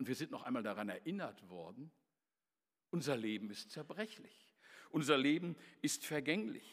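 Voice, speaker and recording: Using a fairly high pitch with vocal fry, a man speaks at a moderate pace with very wide pitch swings, big swings in loudness and long, frequent pauses. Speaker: preacher. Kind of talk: sermon delivered to a church congregation, with storytelling and scripture quotes. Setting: church. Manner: earnest, formal and measured, with emphatic repetition of key phrases.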